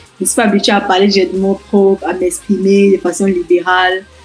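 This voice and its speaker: Music plays behind a woman as she talks. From Cameroon. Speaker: international student, scholarship winner. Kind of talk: interview. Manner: halting.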